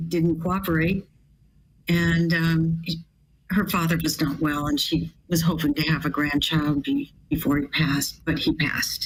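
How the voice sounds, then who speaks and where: A woman speaks in an American accent at a fairly slow pace. Her voice is fairly low in pitch and somewhat breathy. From US West Coast, California. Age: 70s. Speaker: bioethicist. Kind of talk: testimony.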